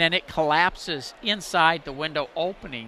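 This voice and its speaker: A man's fairly high-pitched voice in a bright, sharp tone with ordinary pitch variation. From Texas, Pasadena (Houston area). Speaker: home improvement radio host. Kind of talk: live call-in radio show. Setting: live broadcast booth at a home show.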